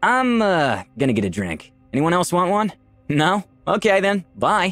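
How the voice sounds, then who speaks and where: A man puts on a nervous-sounding character voice, high-pitched and sing-song, at a moderate pace. Faint music plays in the background. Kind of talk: comic relief in fantasy audio drama. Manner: nervous, awkward, sing-song.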